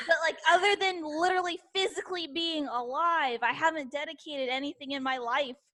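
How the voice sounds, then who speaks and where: A woman's raised, projected voice, high in pitch with ordinary pitch variation and hardly any pauses. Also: fairly quick pace. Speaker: podcast co-host. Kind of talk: casual chat.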